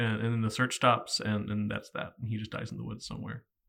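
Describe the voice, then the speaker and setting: His accent is American. The man talks at a fairly quick clip. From Virginia. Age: 30s. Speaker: podcast host. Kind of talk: casual chat, book discussion.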